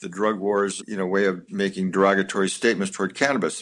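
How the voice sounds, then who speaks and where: An ordinary speaking voice from a man with fairly low pitch at a moderate pace. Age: 60s. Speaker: physician. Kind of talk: interview.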